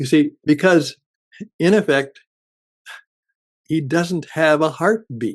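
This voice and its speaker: A man speaks at a very slow pace with long, frequent pauses. His pitch is fairly high, with ordinary variation. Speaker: radio broadcaster and podcast producer. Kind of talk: podcast introduction / radio-style promo.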